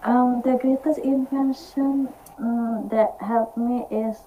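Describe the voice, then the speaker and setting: A woman in an Indonesian accent speaks with a dark, mellow tone and fairly even intonation. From Indonesia, Java. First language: Indonesian or Javanese. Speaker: university student, meeting participant. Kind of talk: online conversation practice. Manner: halting, hesitant.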